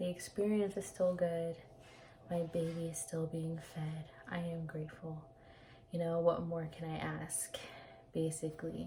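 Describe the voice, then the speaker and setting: A woman's fairly low, monotone, flat voice at a fairly slow pace, broken by long, frequent pauses. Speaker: vlogger sharing personal experience. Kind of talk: casual personal vlog. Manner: hesitant, many fillers.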